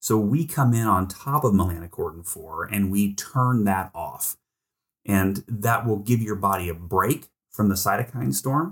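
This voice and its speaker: Captured in a very clean recording with a silent background, the somewhat breathy voice moves at a moderate pace with ordinary pitch variation. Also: man. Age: 40s. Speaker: biotech CEO. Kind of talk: interview. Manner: animated.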